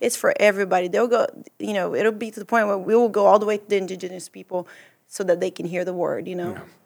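Very fast and in a flat monotone, the voice carries a Portuguese accent with big swings in loudness. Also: woman, medium pitch for a woman. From Brazil. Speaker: church mission trip member and translator. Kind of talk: casual chat.

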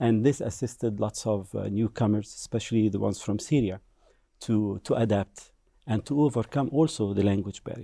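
In a very clean recording with a silent background, a man speaks with an Egyptian accent at a moderate pace. His fairly low voice has a dark, mellow tone and ordinary pitch variation. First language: Arabic. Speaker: language instructor.

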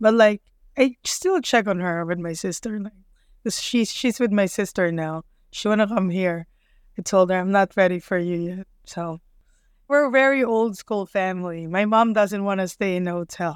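On a very clean recording with a silent background and a dry, close sound with no echo, a woman with a Filipino accent talks at medium pitch and a moderate pace with ordinary pitch variation. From Manila, Philippines. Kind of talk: casual interview. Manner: candid, profane.

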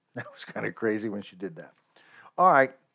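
A man talks at a moderate pace. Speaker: podcast host. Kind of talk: radio dj patter; casual monologue. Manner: chatty, upbeat, sign-off patter; rambling, impassioned.

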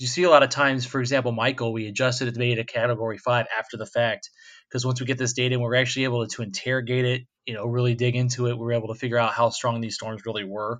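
Against a quiet background, a man speaks very fast at medium pitch with an American accent, his intonation monotone and flat. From west coast of Florida. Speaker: hurricane forecaster. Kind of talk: interview.

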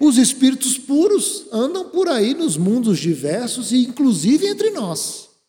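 A man with an extremely high pitch and very wide pitch swings, speaking at a fairly slow pace. His tone is dark and mellow, with hardly any pauses. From Brazil, moved around; mostly Brasília. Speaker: spiritist lecturer. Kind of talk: lecture. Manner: conversational, frequent filler tags.

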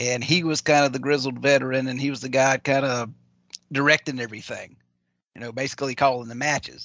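A man speaks with a Louisiana accent. His pitch is medium and his pace moderate. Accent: Southern US, Louisiana. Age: 40s. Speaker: wrestling commentator guest. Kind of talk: live stream casual chat.

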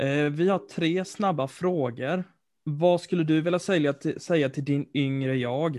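In a quiet background, a man talks at a fairly slow pace in a normal speaking voice. His pitch is fairly high, with ordinary pitch variation. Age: 20s. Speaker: student podcast co-host. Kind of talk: interview.

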